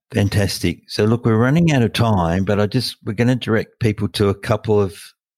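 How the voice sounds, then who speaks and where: With an Australian accent, a man speaks at a fairly low pitch and moderate pace, with ordinary pitch variation. The sound is dry and close with no echo, on a very clean recording with a silent background. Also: very even loudness. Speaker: podcast host, oncologist. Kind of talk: expert panel discussion.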